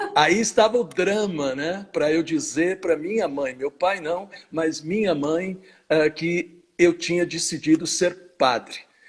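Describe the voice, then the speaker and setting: With ordinary pitch variation, the speech unfolds very slowly. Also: man, high pitch for a man. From Brazil, São Paulo state (Jundiaí / São Paulo). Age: 60s. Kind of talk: interview in a live stream. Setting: online live stream.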